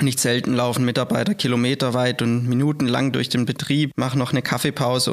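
The pace is fairly quick. It is an unremarkable speaking voice with fairly even intonation. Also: man. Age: 30s. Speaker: sales and product manager for workplace safety. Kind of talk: podcast interview.

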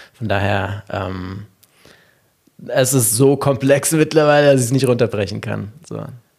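Using vocal fry and ordinary pitch variation, a medium-pitched man speaks fairly slowly with long, frequent pauses and big swings in loudness. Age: 30s. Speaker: meditation company founder. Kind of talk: interview conversation.

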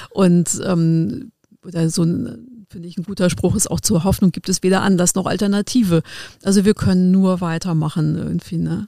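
A woman speaks at a moderate pace with a fairly low pitch, a dark, mellow tone and ordinary pitch variation, recorded dry and close with no echo. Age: 50s. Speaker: legal guardian and adult educator. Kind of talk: casual chat. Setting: studio. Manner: halting, many fillers.

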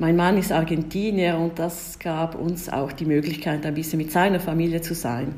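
A woman in an Italian Swiss accent, fairly low in pitch, amid audible room echo. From Switzerland, Ticino (Italian-speaking). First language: Italian (speaking German). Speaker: diplomat. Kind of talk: interview. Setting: remote call.

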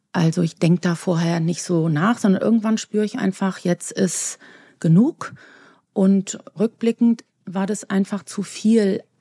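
At a fairly slow pace, a woman speaks at medium pitch with a dark, mellow, somewhat breathy tone, ordinary pitch variation, and a dry, close sound with no echo. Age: 50s. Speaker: physician and author. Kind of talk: interview.

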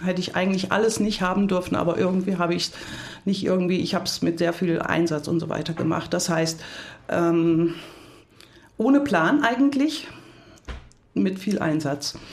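A woman talks at a moderate pace with lively intonation and a fairly low pitch. Audible room echo surrounds her voice. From Hunsrück, western Germany. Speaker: leadership coach. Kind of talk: podcast interview.

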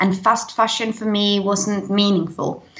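This woman has a British accent, a medium-pitched voice and fairly even intonation. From Denmark. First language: Danish. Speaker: eco YouTuber. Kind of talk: interview.

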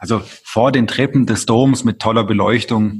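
Using an ordinary speaking voice, a man talks at a fairly slow pace with fairly even intonation. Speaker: mayor. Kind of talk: interview.

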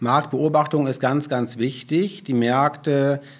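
A medium-pitched man at a very slow pace. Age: 40s. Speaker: utility sales manager. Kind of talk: podcast interview.

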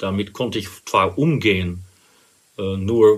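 A man with a Dutch accent speaks in a fairly low, somewhat breathy voice with ordinary pitch variation, on a very clean recording with a silent background. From Netherlands, Rotterdam. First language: Dutch (speaking German). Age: 50s. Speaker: interview guest sharing personal experience. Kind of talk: personal interview. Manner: hesitant, many fillers.

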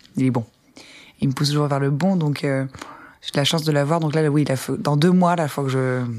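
A woman talks at a fairly quick pace with a very deep, low pitch. Her speech has long, frequent pauses. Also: fairly even intonation. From Ardennes, northern France. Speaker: musician. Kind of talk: casual interview.

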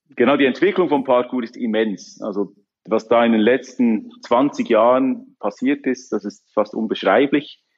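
A man speaks in a normal speaking voice at a medium pitch. His pitch varies in an ordinary way, and his pace is fairly slow. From Switzerland, canton of Bern. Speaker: parkour coach and entrepreneur. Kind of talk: interview.

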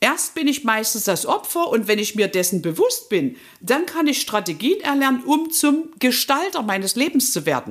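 High-pitched female speech with very wide pitch swings, a moderate pace and hardly any pauses, on a very clean recording against a silent background. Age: 50s. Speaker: life coach. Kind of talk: interview.

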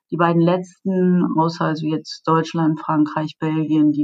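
This woman's pitch is very deep and low. Her pace is fairly slow. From Germany. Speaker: payments executive. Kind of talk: interview. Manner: hesitant, many filler sounds.

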